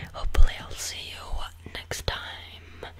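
This is a man's voice. He is whispering. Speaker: video creator. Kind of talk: playful comedic monologue to camera, ASMR-like. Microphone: studio mic.

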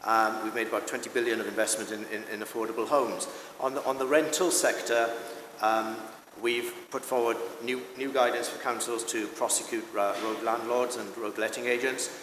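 A man with a South Wales accent talks at a fairly quick pace and medium pitch, his intonation fairly even. Audible room echo and light background noise are present. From South Wales, Swansea Valley. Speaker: parliamentary candidate; candidate. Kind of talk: political debate. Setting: stage with live audience, broadcast on radio. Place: stage. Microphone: podium.

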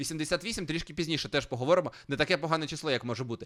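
This man has a bright, sharp tone. His intonation is lively. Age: 30s. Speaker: streamer. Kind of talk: casual chat.

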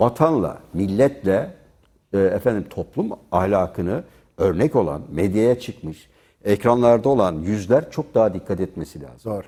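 Lively in intonation, a man with a dark, mellow tone and fairly low pitch speaks at a fairly slow pace. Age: 60s. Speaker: journalist. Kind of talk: TV panel debate. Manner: animated; loud.

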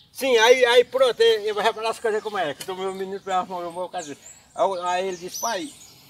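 Light background noise accompanies a man speaking at a fairly quick pace with a high pitch. His loudness swings widely, while his pitch variation is ordinary. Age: 70s. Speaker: farmer. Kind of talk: interview answer. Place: farm. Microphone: phone near.

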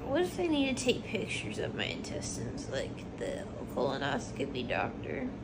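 Loud background noise behind speech at a moderate pace. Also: woman. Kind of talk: groggy rambling chat. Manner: drowsy, slurred post-anesthesia speech.

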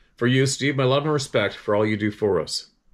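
A man's pitch varies in an ordinary way, and the background stays quiet. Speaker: channel host reading viewer emails. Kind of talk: casual vlog monologue with read-aloud emails. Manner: rambling, conversational. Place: home room. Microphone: phone near.

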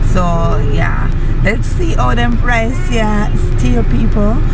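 A woman speaks at a moderate pace over background music. The sound is dry, with no echo. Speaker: family vlogger. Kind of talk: casual vlog chat. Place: car. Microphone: phone near.

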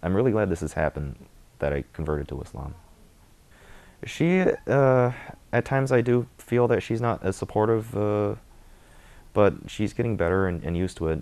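With an American accent, a man talks at a moderate pace in a fairly low pitch, swinging very widely in pitch and taking long, frequent pauses. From US Midwest (Michigan). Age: 20s. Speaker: convert to Islam. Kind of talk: testimony. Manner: hesitant, many filler words. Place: home room. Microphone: lapel.

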